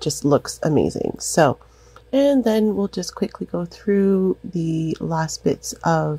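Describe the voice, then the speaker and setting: A woman's somewhat breathy, fairly low voice, dark and mellow in tone, with lively intonation. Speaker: craft tutorial creator. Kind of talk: tutorial. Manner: casual, filler-heavy.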